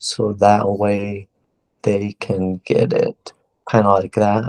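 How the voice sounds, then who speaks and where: A man's fairly low, monotone voice with flat intonation and a dry, close sound with no echo. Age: 20s. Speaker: interviewee with a rare genetic disorder. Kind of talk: interview. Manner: slow; syllables sometimes stumble.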